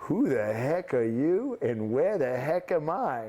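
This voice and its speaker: A man's put-on character voice in a strong New York accent, fairly high in pitch, fairly slow, with very wide pitch swings and very even loudness. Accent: thick New York. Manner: confused, abrupt.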